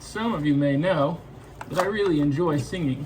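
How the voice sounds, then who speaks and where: A man with an American accent speaks at a fairly slow pace in a fairly high pitch. There is ordinary pitch variation and noticeable background noise. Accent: American-sounding. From Scotland. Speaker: car enthusiast. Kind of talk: casual talk to camera.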